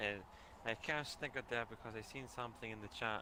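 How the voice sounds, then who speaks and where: A man in a Glaswegian accent, medium in pitch, at a moderate pace with ordinary pitch variation. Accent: Glaswegian Scottish. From Scotland, Glasgow. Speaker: gaming livestream co-host. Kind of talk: casual chat.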